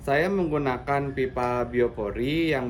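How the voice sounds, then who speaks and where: Noticeable background noise and audible room echo fill the recording. A man talks at a fairly slow pace. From West Java, Bandung Regency. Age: 30s. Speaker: farmer. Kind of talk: demonstration.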